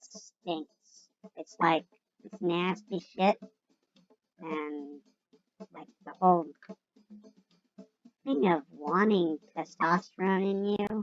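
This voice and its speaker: With music in the background and a dry, close sound with no echo, a woman of fairly low pitch speaks very slowly, with ordinary pitch variation, big swings in loudness and long, frequent pauses. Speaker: vlogger. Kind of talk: casual monologue.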